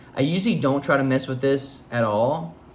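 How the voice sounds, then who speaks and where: A man at a moderate pace, with audible room echo. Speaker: photo editing youtuber. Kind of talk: tutorial. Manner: casual, hesitant with fillers.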